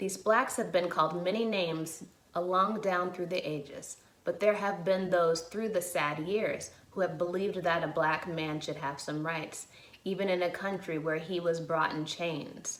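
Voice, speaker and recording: A woman with an American accent talks at a moderate pace in a fairly low pitch, her intonation fairly even. Noticeable background noise runs underneath. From Chicago area, USA. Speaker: actor. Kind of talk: dramatic reading of a historic courtroom closing argument.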